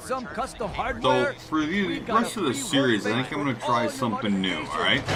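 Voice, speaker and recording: Noticeable background noise sits behind a man's voice. He talks at a fairly slow pace with hardly any pauses. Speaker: gaming YouTuber. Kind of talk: casual talk to camera. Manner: casual, chatty.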